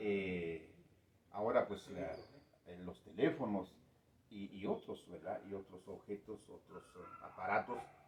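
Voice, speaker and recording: A man's fairly low voice with ordinary pitch variation, a fairly slow pace, long, frequent pauses, big swings in loudness and noticeable background noise. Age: 60s. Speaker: community elder. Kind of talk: interview. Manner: hesitant, many fillers.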